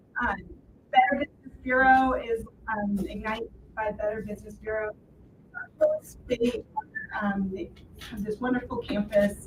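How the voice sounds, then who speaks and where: A somewhat breathy woman speaks with long, frequent pauses. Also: fairly high pitch for a woman, fairly even intonation, moderate pace. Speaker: event organizer. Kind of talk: live event announcements.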